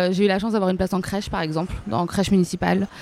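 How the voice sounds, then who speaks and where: A woman speaks at a medium pitch. She has an ordinary speaking voice with ordinary pitch variation. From Paris suburbs. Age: 30s. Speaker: fashion influencer and blogger. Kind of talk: interview. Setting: restaurant.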